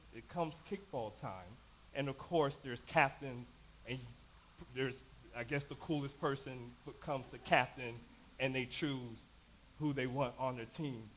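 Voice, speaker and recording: At a moderate pace, a man with an American accent and a medium pitch speaks with long, frequent pauses. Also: ordinary pitch variation. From Knoxville, Tennessee (US South), New York roots. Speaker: panelist at church discussion evening. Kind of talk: personal story in panel discussion.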